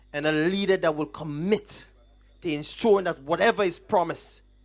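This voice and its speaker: Moving at a moderate pace, this man speaks. His pitch runs high. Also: quiet background. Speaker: political campaign speaker. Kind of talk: political rally speech. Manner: animated.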